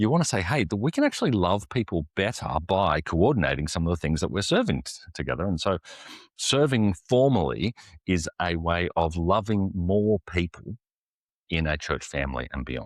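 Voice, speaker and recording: Very deep and low in pitch, a man with vocal fry speaks at a fairly quick pace with very wide pitch swings, in a very clean recording with a silent background and a dry, close sound with no echo. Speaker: executive pastor. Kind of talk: interview answer.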